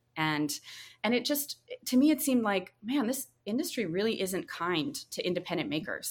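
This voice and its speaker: A woman with an American accent, fairly quick in pace, with very wide pitch swings. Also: very clean recording, silent background. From rural North Carolina, US South. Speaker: drinks brand founder. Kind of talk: interview. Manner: casual, uses many fillers.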